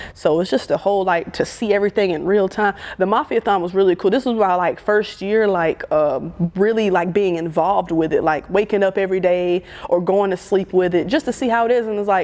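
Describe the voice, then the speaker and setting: Against noticeable background noise, a woman with an American accent talks at a fairly quick pace in an animated tone, at medium pitch with ordinary pitch variation. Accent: southern accent, stronger when nervous. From US South, Birmingham, Alabama. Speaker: photographer and content creator. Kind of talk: interview conversation.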